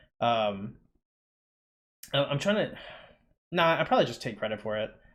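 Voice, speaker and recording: With lively intonation and a very fast pace, a man speaks against a quiet background. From Panamanian family, raised in the United States. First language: Spanish. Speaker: poet and vlogger. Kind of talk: casual vlog monologue. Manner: halting, many fillers.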